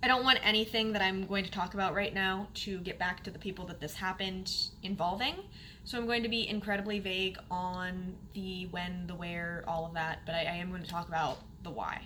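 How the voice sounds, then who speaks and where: Audible room echo surrounds the voice. A woman speaks at a medium pitch and a fairly quick pace. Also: fairly even intonation. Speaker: sewing vlogger. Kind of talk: casual vlog talk.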